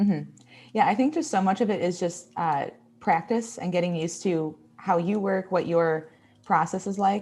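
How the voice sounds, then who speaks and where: A woman talks at a moderate pace with a strong Midwestern accent. Music plays in the background. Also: medium pitch for a woman, ordinary pitch variation. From Texas. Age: 20s. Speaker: graphic designer and illustrator. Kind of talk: live design tutorial. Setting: livestream.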